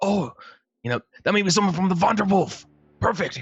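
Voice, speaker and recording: In a put-on character voice, the speaker sounds raspy at a middle pitch and keeps a fairly quick pace. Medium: actual play. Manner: brash, eager.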